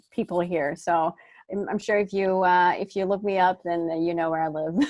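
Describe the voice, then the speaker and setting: A woman with a slight Texas accent, medium pitch and a fairly quick pace, on a very clean recording with a silent background. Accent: slight Texas twang. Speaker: smartphone video trainer. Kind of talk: interview.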